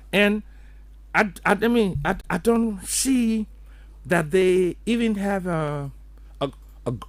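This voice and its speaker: A man with a high pitch speaks at a very slow pace with long, frequent pauses and ordinary pitch variation. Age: 70s. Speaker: economist. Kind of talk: radio interview.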